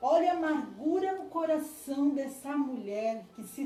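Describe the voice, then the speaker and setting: A woman with a high pitch and a dark, mellow tone speaks very slowly with lively intonation, and the room echo is audible. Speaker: preacher. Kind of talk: sermon. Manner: halting.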